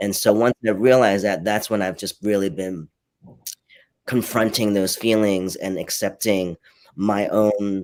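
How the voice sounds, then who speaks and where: A man speaks at a fairly slow pace in a Cantonese accent. His pitch is fairly low, and his intonation stays fairly even. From New York (born in Hong Kong, moved at seven). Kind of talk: live panel discussion. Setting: livestreamed online panel.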